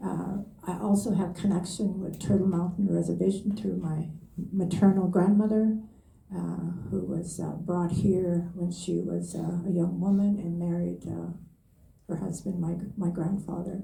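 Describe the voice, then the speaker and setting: A woman speaks fairly slowly with a fairly low pitch. Her intonation is flat and monotone, and the room echo is audible. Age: 80s+. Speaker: elder. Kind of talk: panel testimony. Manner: halting, many fillers.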